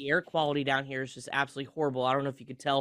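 A man of medium pitch talks at a very fast pace in a clear, smooth, fairly bright tone with little pitch movement.

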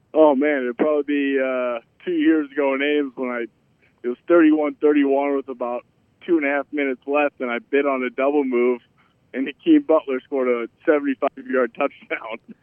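This man's fairly high voice carries an American accent and a monotone, flat intonation. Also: moderate pace. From Iowa, US Midwest. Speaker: professional football player. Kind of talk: casual interview.

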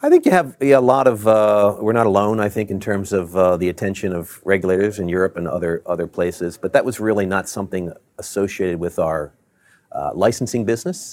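A fairly quick, fairly low-pitched man with an American accent and ordinary pitch variation. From Maryland, Baltimore. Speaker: tech company CEO. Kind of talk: interview. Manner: halting, many fillers.

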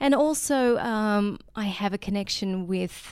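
A woman speaks very slowly with an Australian accent and ordinary pitch variation. The recording is very clean, with a silent background. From Australia, remote desert mining town. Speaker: yoga teacher. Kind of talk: casual interview conversation. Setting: in person, Maui.

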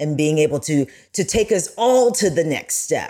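A woman speaks in a fairly low pitch with a dark, mellow tone. Her pitch variation is ordinary. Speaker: TV news anchor. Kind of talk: casual chat.

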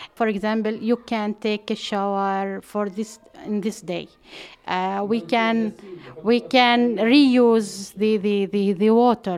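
At a very slow pace, a woman with an Arabic accent speaks with fairly high pitch and fairly even intonation on a very clean recording with a silent background. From Palestine, West Bank. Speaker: water and gender expert. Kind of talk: interview. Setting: at home. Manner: halting.

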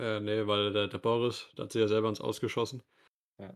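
A man with a fairly low pitch talks at a moderate pace and with fairly even intonation, on a very clean recording with a silent background. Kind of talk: casual chat.

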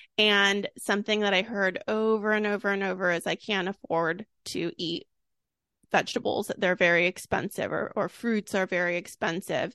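Over a quiet background, a woman with an American accent speaks at a moderate pace and medium pitch, her bright, sharp tone carrying fairly even intonation in a dry, close sound with no echo. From California, Sacramento. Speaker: food blogger and cookbook author. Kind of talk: casual interview.

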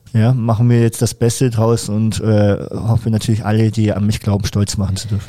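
A man talks at a fairly quick pace with a fairly low pitch and hardly any pauses. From Franconia, Germany. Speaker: para taekwondo athlete. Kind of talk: casual interview chat. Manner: hesitant with many fillers.

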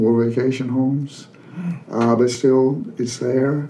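A man with an Appalachian accent speaks at a fairly slow pace with ordinary pitch variation, amid noticeable background noise and audible room echo. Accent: Appalachian Southern US. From Western North Carolina mountains (Canton). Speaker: retired sociology professor and author. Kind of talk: casual interview.

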